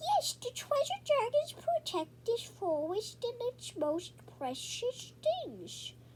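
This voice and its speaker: Over clear background noise, someone performs a put-on character voice at an extremely high pitch and a very slow pace. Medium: read story. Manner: cheerful, encouraging.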